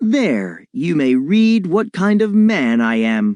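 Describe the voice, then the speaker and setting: A man performs a put-on character voice at a high pitch with very wide pitch swings. He speaks at a very slow pace, his loudness very even. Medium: read story. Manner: boastful, confident.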